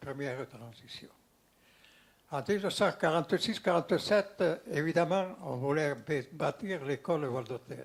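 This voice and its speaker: Somewhat breathy and fairly high for a man, this voice has big swings in loudness. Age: 90s. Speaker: elderly community elder. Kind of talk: panel discussion.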